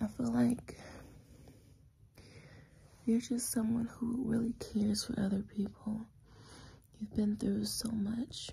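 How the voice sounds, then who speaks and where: Soft-spoken and whispering, a woman talks at a very slow pace with long, frequent pauses. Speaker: comfort roleplay host. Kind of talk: soft personal-attention roleplay talk. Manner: soft, tender near-whisper. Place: home room. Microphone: phone near.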